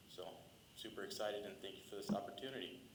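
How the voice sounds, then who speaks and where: Noticeable background noise and audible room echo accompany a man with an American accent whose fairly low voice carries a monotone, flat intonation. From Illinois, Coal City. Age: 20s. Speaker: new police officer. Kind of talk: short introductory speech.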